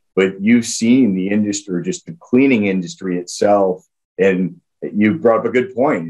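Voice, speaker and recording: A man speaks at a fairly low pitch and a moderate pace, with ordinary pitch variation. His is an unremarkable speaking voice, heard against a quiet background. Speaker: guest. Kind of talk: interview answer. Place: office. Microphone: webcam.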